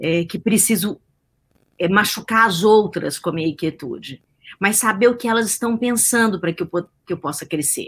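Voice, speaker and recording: On a very clean recording with a silent background, a woman speaks at a medium pitch with ordinary pitch variation and a somewhat breathy voice. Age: 50s. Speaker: science journalist and behavioral scientist. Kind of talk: interview.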